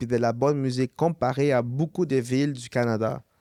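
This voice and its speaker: A man speaks in a medium pitch with fairly even intonation and a dark, mellow tone. The sound is dry and close with no echo, on a very clean recording with a silent background. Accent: Quebec. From Montreal, Quebec. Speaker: musician. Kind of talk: casual chat.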